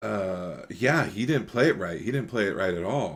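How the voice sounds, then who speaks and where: A man speaks loudly. His pitch swings very widely. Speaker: podcast host. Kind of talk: casual chat.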